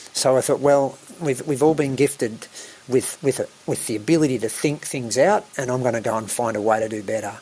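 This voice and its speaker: A man speaks with an Australian accent at a fairly quick pace. His pitch varies in an ordinary way. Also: medium pitch for a man. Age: 60s. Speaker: island eco-resort operator and pilot. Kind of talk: podcast interview.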